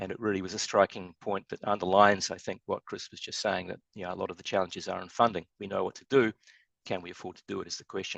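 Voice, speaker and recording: A man with a New Zealand accent speaks at a very fast pace, his pitch fairly low and his intonation flat and monotone. His loudness swings widely from moment to moment. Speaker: structural engineer. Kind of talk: webinar presentation.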